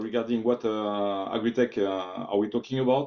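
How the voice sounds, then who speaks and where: Fairly even intonation with a French accent. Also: man. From France. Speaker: technology executive, invited speaker. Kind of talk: online presentation. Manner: halting, many filler sounds.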